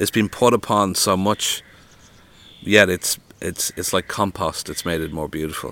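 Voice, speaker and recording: Speaking at a moderate pace with a Dublin accent, this voice has a bright, sharp tone. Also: man, very deep, low pitch for a man, ordinary pitch variation. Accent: Irish (Dublin). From Ireland (Dublin). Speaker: author and poet. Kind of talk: interview conversation. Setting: outdoors.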